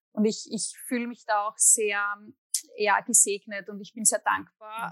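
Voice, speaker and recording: A woman's fairly high, bright, sharp voice with fairly even intonation and an Austrian accent, in a dry, close sound with no echo. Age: 30s. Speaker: musician and psychologist. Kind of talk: interview.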